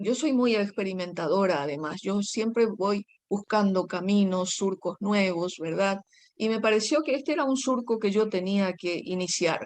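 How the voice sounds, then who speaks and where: A woman's medium-pitched voice with a Paraguayan accent, fairly slow pace and ordinary pitch variation. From Paraguay, rural. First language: Guaraní (speaking Spanish). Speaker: poet. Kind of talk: interview.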